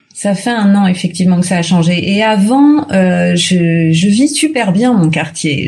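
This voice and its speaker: Through noticeable background noise, a woman's speech proceeds at a fairly slow pace. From Paris region, Hauts-de-Seine. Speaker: resident interviewee, actress and mother. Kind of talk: interview.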